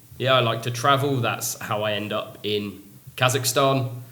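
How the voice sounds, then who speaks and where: This man speaks at a medium pitch, and audible room echo surrounds his words. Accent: London. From London (Feltham, west London). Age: 20s. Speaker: English teacher. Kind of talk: casual podcast chat.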